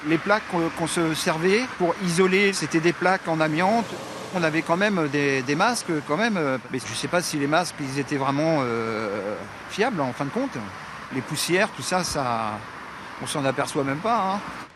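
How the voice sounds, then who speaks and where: A man's fairly high voice at a moderate pace, with noticeable background noise. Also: lively intonation. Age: 50s. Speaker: former foundry worker. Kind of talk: interview. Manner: halting, hesitant.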